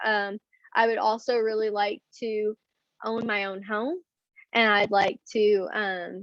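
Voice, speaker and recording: With a Southern US accent, a woman speaks very slowly at a fairly high pitch, her intonation fairly even and her pauses long and frequent. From Arkansas, Hot Springs. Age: 20s. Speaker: teacher. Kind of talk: classroom lecture. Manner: casual, with many fillers.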